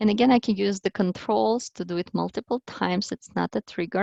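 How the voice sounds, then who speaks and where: In a plain, everyday voice, a woman speaks at a moderate pace and medium pitch, the sound dry and close with no echo over a quiet background. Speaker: language teaching workshop presenter. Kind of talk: tutorial.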